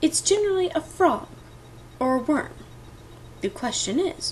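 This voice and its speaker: A woman puts on a character voice with extremely high pitch. She speaks at a moderate pace over clear background noise. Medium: read story.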